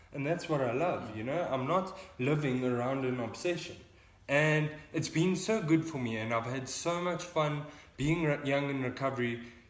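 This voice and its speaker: Amid noticeable background noise and audible room echo, a man speaks in a fairly high pitch with ordinary pitch variation. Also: moderate pace. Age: 20s. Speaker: young person in addiction recovery. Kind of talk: casual vlog talk.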